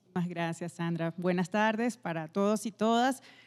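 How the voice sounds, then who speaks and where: A dark, mellow tone at a moderate pace on a very clean recording with a silent background. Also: woman. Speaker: pharmaceutical executive. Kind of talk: panel conversation.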